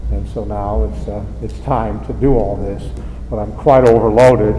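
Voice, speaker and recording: A man speaks with an American accent. The room echo is audible, and background noise is noticeable. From Indiana, US Midwest. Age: 60s. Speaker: member of the public at council meeting. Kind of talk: public comment at meeting. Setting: city council meeting. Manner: rambling, halting with fillers.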